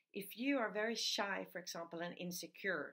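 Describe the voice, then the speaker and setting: Speaking fairly slowly with a non-native accent, a woman uses a bright, sharp tone at a medium pitch with ordinary pitch variation. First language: not English. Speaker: personal development coach. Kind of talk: video talk / tutorial.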